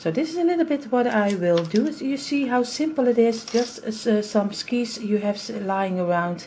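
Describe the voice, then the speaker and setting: A Dutch accent at a moderate pace, with lively intonation and noticeable background noise. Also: woman, fairly high pitch for a woman. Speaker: craft youtuber. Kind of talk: tutorial. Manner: halting.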